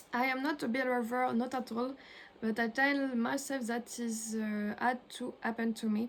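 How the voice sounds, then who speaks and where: In a French accent, a woman speaks at a moderate pace with a high pitch and monotone, flat intonation. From France. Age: 20s. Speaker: illustrator. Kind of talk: self-introduction monologue. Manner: halting, many hesitations.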